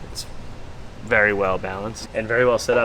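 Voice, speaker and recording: The intonation is fairly even, with audible room echo and noticeable background noise. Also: man. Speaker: drift car builder and suspension specialist. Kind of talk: casual vlog chat. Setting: workshop. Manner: quiet.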